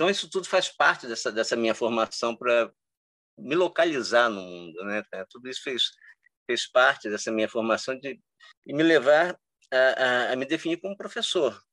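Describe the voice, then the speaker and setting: This man's medium-pitched voice has lively intonation and a moderate pace broken by long, frequent pauses, with a dry, close sound and no echo. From Cabo Frio, Rio de Janeiro state, Brazil. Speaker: history teacher and researcher. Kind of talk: interview. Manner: halting, with many repetitions.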